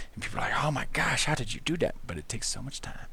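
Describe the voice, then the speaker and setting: Against audible room echo, a man talks in an enthusiastic, relaxed tone that sounds bright and sharp. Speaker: livestreaming artist. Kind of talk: casual livestream chat while drawing. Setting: livestream, talking to chat. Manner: less enthusiastic, relaxed and unhurried.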